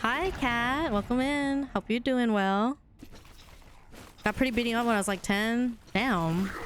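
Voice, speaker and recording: A woman's fairly high voice at a fairly slow pace, with ordinary pitch variation, very even loudness and long, frequent pauses. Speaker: video game streamer. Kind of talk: casual chat. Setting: live stream. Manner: sounds aggressive.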